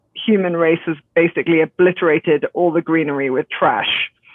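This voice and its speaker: A woman speaks at a moderate pace. Her fairly low voice keeps a fairly even intonation. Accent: British. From England. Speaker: zero waste grocery co-founder. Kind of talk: podcast interview.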